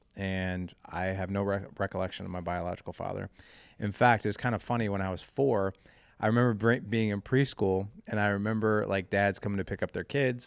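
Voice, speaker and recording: A plain, everyday voice at a fairly quick pace, with fairly even intonation, on a very clean recording with a silent background. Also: man, fairly low pitch for a man. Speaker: fatherhood podcast host and founder. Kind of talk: casual interview, personal storytelling. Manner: casual, conversational.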